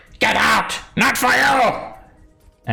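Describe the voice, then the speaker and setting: Over faint background music, a man does a put-on character voice that is high-pitched and shrill. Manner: shrieking, aggressive, territorial.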